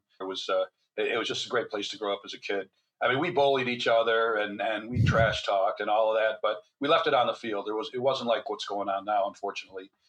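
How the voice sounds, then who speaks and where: Talking at a very fast pace, a man with a medium pitch and an American accent shows ordinary pitch variation. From US Midwest, Michigan. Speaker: neuroradiologist and author. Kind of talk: interview conversation.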